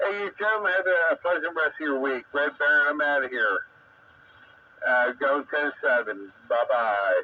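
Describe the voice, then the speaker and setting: A man speaks at a moderate pace in a fairly high voice, with lively intonation, very even loudness and noticeable background noise. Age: 60s. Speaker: radio amateur operator. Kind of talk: ham radio net chat. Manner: halting, many fillers.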